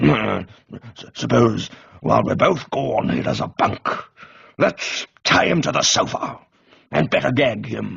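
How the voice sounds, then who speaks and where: A man puts on a raspy character voice, talking at a fairly slow pace with long, frequent pauses. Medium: read story. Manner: hearty, blustering.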